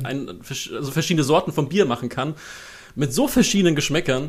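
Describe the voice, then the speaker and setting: An unremarkable speaking voice is delivered with lively intonation. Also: man. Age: 20s. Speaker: freelance copy editor. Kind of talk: interview.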